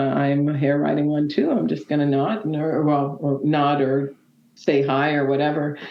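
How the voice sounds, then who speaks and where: A woman's very deep, low voice with a Canadian accent, at a moderate pace, with audible room echo. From Nova Scotia, Canada. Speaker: motorcyclist. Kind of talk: interview. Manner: hesitant, many fillers.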